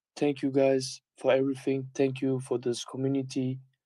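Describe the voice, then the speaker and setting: The voice has a dark, mellow tone with a German accent. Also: man. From Germany. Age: 20s. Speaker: community member. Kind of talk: casual call with community. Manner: halting.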